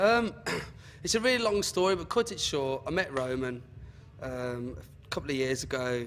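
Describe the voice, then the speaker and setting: A man with a strong Birmingham accent speaks at a moderate pace in a fairly high pitch, with very wide pitch swings and long, frequent pauses. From Birmingham, English Midlands. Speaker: club DJ. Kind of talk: interview.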